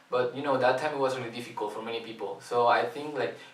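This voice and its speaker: A man with a Spanish accent talks at a medium pitch with fairly even intonation, amid noticeable background noise and audible room echo. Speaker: youth volunteer. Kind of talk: promotional invitation video. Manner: halting, many fillers.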